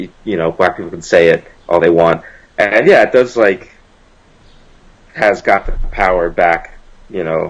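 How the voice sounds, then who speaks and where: Male speech, moderately paced. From US South, South Carolina. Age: 20s. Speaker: musician. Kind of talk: interview.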